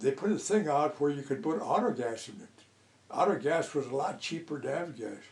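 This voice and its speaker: Lively intonation marks this man's fairly high-pitched voice. Noticeable background noise runs behind him. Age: 90s. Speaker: elderly pilot interviewee. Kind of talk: oral history interview. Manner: halting.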